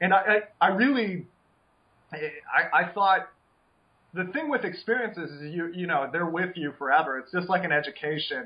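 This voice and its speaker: The speaker uses an American accent, moving at a moderate pace with lively intonation. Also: man, high pitch for a man. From United States. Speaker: professional poker player. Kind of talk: casual chat. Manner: animated.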